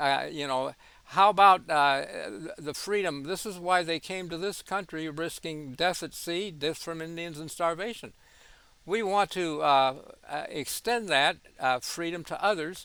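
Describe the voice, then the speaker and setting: This man speaks at a high pitch and moderate pace with ordinary pitch variation. His tone is bright and sharp, on a very clean recording with a silent background. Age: 80s+. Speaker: physician and religious commentator. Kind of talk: monologue commentary. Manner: halting, many fillers and repetitions.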